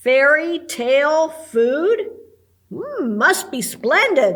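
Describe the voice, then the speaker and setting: A woman's put-on character voice, high-pitched and very slow, with very wide pitch swings. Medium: read story.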